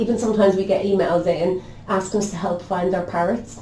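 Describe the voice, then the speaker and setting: With an Irish accent, a woman talks at a medium pitch with fairly even intonation, and the recording carries noticeable background noise and audible room echo. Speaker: local radio station manager. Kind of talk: podcast interview. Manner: fast.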